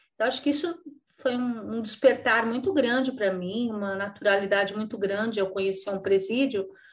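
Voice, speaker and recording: A woman speaks fairly quickly at a fairly high pitch with ordinary pitch variation. It is a plain, everyday voice. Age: 60s. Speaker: nonprofit executive director. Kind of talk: interview.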